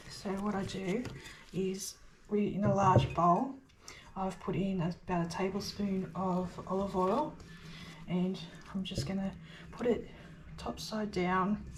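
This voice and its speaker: Against noticeable background noise, a woman at a medium pitch with ordinary variation speaks with long, frequent pauses. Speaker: home baker, homesteader. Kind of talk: casual cooking tutorial to camera. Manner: hesitant, frequent fillers.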